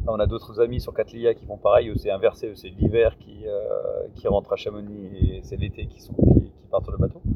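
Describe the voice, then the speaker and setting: With noticeable background noise behind him, a man talks with hardly any pauses and big swings in loudness. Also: moderate pace. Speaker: paragliding instructor and sailor. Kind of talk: interview. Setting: outdoors.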